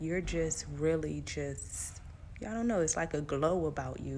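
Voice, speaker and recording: In a room with audible echo, a woman talks fairly slowly. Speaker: faith coach. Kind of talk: inspirational talk.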